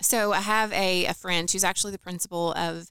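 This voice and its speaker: Speaking with an American accent, a woman has a fairly low pitch, a bright, sharp tone and ordinary pitch variation at a moderate pace, in a dry, close sound with no echo on a very clean recording with a silent background. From western Kentucky (McLean County). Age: 40s. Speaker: banker and podcaster. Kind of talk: interview.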